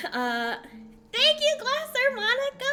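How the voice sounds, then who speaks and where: With music in the background, a woman shouts in a raised, projected voice at a fairly slow pace with very wide pitch swings. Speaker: streamer. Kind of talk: live stream presentation to chat. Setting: live stream. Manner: loud, shouting into the mic; animated, gushing.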